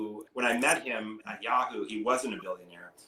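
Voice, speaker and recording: A man with a Canadian accent talks at a fairly quick pace amid noticeable background noise. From Canada. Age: 50s. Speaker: hedge fund manager. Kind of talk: interview. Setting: podcast. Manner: casual, many fillers.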